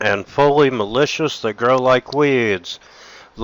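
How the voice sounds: The voice reads in a natural manner. Intonation is kept fairly even.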